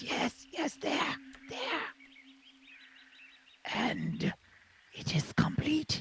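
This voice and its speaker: A whispering, raspy put-on character voice moves at a very slow pace with long, frequent pauses. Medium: actual play. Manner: fussy, instructive.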